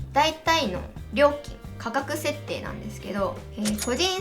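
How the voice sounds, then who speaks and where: A woman speaks with music in the background. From Miyagi Prefecture, Japan. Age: 20s. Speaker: gravure model and game streamer. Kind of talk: casual explanatory talk to camera.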